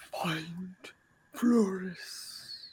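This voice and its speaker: A breathy, female-sounding put-on character voice at a medium pitch comes with hissing in the audio. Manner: whispery.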